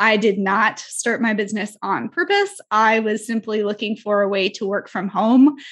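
A woman with a plain, everyday voice speaks at a fairly high pitch and moderate pace. Her intonation is fairly even, with hardly any pauses. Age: 20s. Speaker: brand strategist and marketing coach. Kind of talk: casual chat.

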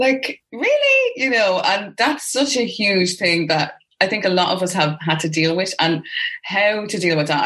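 The speaker has an Irish accent. The intonation is lively. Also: woman. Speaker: podcast host. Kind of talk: casual interview chat. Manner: animated.

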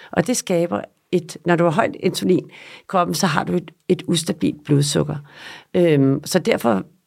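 In a very clean recording with a silent background, a woman talks with very wide pitch swings and vocal fry. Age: 50s. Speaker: nutrition therapist and yoga instructor. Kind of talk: interview.

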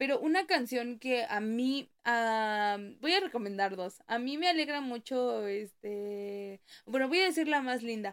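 A woman speaks fairly slowly in a high pitch. Her intonation is lively. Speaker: podcast co-host. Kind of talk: casual chat. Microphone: new microphone.

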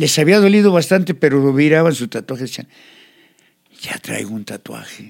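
Pausing long and often, a man with a fairly high pitch talks with big swings in loudness. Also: lively intonation, moderate pace. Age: 60s. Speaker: tattoo artist. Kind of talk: life story interview.

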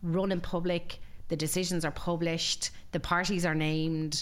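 With a western Irish accent, the speaker shows ordinary pitch variation. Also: woman. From Ireland, Galway. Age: 40s. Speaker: employment lawyer. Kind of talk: interview.

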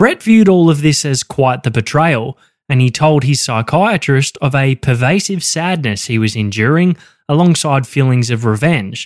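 With an Australian accent, a man with a fairly high pitch speaks at a moderate pace and with lively intonation. The sound is dry and close with no echo, in a very clean recording with a silent background. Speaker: true crime podcast co-host. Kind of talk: scripted true crime narration.

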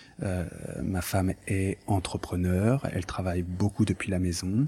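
A somewhat breathy voice with a dark, mellow tone speaks at a very slow pace. The recording is very clean, with a silent background. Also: man. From France, of Portuguese descent. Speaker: lawyer. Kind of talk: interview. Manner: hesitant, many filler sounds.

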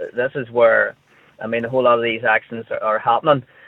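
A man with a Northern Irish accent at a very fast pace. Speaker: road safety commentator. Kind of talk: radio phone-in discussion.

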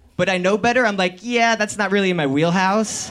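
Noticeable background noise sits under this recording. A man with an American accent speaks at a moderate pace and a high pitch. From New Jersey. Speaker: storyteller. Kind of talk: live storytelling. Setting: stage with audience.

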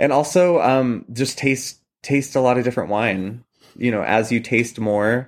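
An ordinary speaking voice: a man with an American accent talking at a moderate pace with ordinary pitch variation. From Washington State, Columbia Valley. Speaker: oboist and wine tasting host. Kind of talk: casual interview. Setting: remote call from home kitchen.

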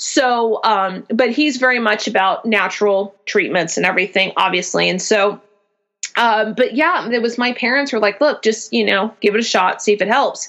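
A woman speaks in an ordinary speaking voice, fairly high-pitched with ordinary pitch variation. Her loudness stays very even at a moderate pace. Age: 30s. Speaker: small business founder with chronic migraines. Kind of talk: casual interview chat.

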